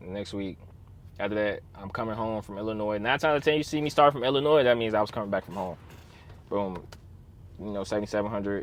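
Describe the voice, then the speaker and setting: A man at a fairly low pitch, very fast and animated, with ordinary pitch variation and long, frequent pauses. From Chicago, US Midwest. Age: 20s. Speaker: truck driver and vlogger. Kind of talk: casual vlog storytime.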